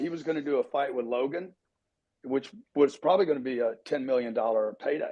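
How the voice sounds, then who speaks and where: Speaking at a fairly quick pace, a man with an ordinary speaking voice uses lively intonation at a fairly high pitch. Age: 60s. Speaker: live audio chat participant. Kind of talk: casual group discussion.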